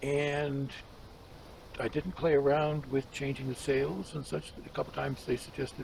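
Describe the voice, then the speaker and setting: Noticeable background noise surrounds a man whose fairly high voice keeps a moderate pace and fairly even intonation. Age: 70s. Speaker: gaming YouTuber. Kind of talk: gameplay commentary. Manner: relaxed, conversational.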